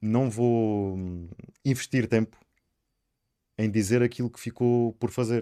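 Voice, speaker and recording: A man speaks at a medium pitch in a monotone, flat way, very slowly, with long, frequent pauses and big swings in loudness. The sound is dry and close, with no echo. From Sines, Alentejo coast, Portugal. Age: 30s. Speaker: local election candidate. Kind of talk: interview.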